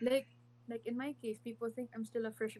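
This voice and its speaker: A woman talks at a fairly quick pace. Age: late 20s. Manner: casual, emphatic, frequent profanity.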